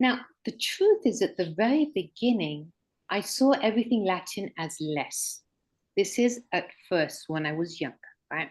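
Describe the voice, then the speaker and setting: Somewhat breathy and medium in pitch, a woman with a British accent speaks at a fairly slow pace with very wide pitch swings. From Mexico, British community, English-born. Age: 60s. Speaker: author and regression therapist. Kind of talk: interview conversation. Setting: online livestream.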